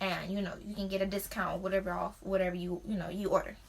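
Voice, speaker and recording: The speaker has an American accent, and background noise is noticeable. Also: woman. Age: young. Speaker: beauty vlogger. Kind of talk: product unboxing review. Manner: casual, filler-heavy.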